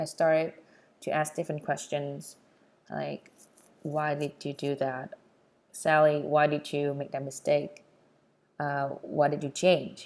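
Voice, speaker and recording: Speaking in a Vietnamese accent, a woman uses a very deep, low pitch and a flat, monotone delivery. Her pace is fairly slow, with long, frequent pauses. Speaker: podcast host. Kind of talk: personal storytelling podcast.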